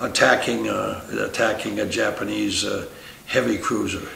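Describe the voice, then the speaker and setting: At a fairly slow pace and with an American accent, a speaker talks while noticeable background noise fills the recording. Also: man. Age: 80s+. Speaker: war veteran. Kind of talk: interview answer. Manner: hesitant.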